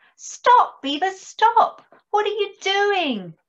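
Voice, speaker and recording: A woman uses a squeaky, put-on character voice at an extremely high pitch. She speaks very slowly. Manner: squeaked, alarmed.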